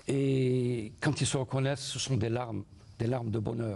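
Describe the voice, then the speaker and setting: A man speaks at a very slow pace with fairly even intonation. His voice is somewhat breathy. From Algeria, Sétif; Algeria. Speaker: first-time memoir author; guest. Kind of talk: studio interview. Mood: warm, nostalgic. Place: studio. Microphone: lapel.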